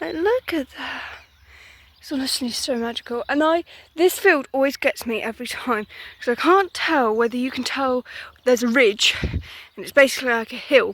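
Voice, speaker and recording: With an English accent, a woman talks at a moderate pace, her high pitch rising and falling in lively intonation. The sound is dry and close, with no echo. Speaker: vlogger. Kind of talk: casual walking vlog monologue. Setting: outdoors.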